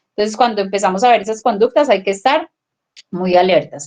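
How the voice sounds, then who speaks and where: A woman with a plain, everyday voice speaks at a fairly high pitch, her intonation lively. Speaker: family educator. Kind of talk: parenting workshop talk.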